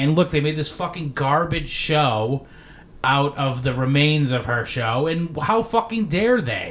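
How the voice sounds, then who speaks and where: A man with an unremarkable speaking voice and a fairly high pitch speaks at a fairly slow pace. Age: 30s. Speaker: podcast host. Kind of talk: casual chat. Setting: birthday party.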